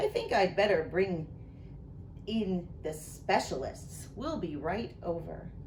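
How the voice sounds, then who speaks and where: A woman's mumbling, put-on character voice at a medium pitch and fairly slow pace, over clear background noise. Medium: read story. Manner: fussy, mumbling.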